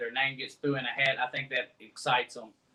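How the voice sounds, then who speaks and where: A man with a Kentucky accent and monotone, flat intonation. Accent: Kentucky Southern drawl. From Ohio County, Kentucky. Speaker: catfish tournament director. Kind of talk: live-stream interview.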